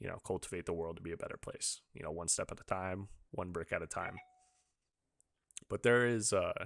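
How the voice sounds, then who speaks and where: A man with an American accent at a fairly quick pace, broken by long, frequent pauses, in a dry, close sound with no echo on a very clean recording with a silent background. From Utah, US. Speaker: podcast host. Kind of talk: casual interview chat.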